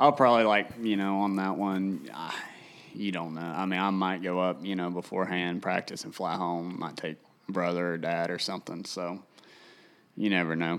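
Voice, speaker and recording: With a Tennessee accent, a man speaks at a moderate pace in a very deep, low voice with ordinary pitch variation. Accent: US Southern (Tennessee). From Tennessee, Tennessee River area. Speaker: professional bass angler. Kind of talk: casual livestream chat. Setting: livestream on video and social media.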